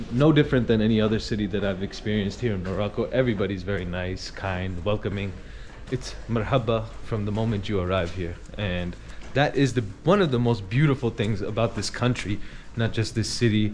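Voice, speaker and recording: There is light background noise as a man talks at a fairly quick pace with ordinary pitch variation. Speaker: travel vlogger. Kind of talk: casual vlog chat. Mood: warm, admiring. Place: street. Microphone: phone near.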